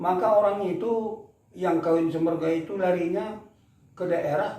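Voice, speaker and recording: Amid noticeable background noise and audible room echo, a man speaks at a fairly slow pace and high pitch with ordinary pitch variation. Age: 70s. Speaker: elder explaining culture. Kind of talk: interview.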